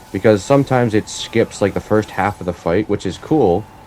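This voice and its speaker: Noticeable background noise sits under the speech. The speaking moves at a moderate pace. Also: man. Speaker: gaming youtuber. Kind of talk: gameplay commentary. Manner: halting, filler words; casual.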